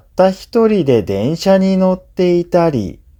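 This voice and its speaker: The audio is very clean, set against a silent background. Words come at a very slow pace. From Japan. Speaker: Japanese language teacher. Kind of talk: language-learning listening narration.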